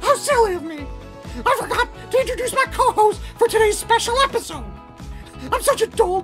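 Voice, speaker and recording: A man's cartoonish character voice, extremely high in pitch and fairly quick, with clear music in the background. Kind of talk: mock cooking show host talk. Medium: puppet. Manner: upbeat, sarcastic.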